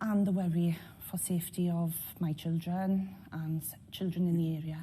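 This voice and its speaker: A woman with a South Welsh accent speaks at a moderate pace in a fairly low, somewhat breathy voice with a dark, mellow tone, her intonation monotone and flat while her loudness swings widely. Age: 50s. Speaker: local resident. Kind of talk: interview testimony.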